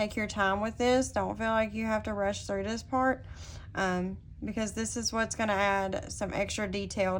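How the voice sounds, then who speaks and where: A woman with a Southern US accent speaks at a medium pitch in a flat, monotone way. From US South. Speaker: digital design tutorial instructor. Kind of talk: tutorial. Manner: hesitant, many filler words.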